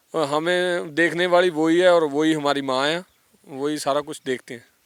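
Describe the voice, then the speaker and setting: A man's fairly high voice with a Punjabi accent. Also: fairly even intonation. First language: Punjabi (speaking Hindi). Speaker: former gangster turned singer. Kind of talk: interview. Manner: halting, many fillers.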